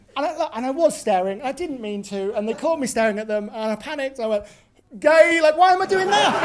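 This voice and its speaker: Against crowd noise in the background, a man with extremely high pitch talks at a very fast pace with lively intonation. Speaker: comedian. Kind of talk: stand-up. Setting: stage with audience. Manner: halting.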